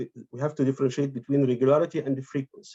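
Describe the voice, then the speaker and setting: An Arabic accent in a dry, close sound with no echo. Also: man. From Egypt. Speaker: academic conference presenter, translator. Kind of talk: conference presentation. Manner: halting, many fillers and repetitions.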